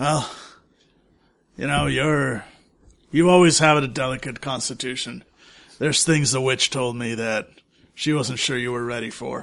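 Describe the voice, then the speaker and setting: This is a put-on character voice with a raspy sound. Long pauses come often. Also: man, medium pitch for a man, moderate pace. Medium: actual play. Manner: deadpan, blunt.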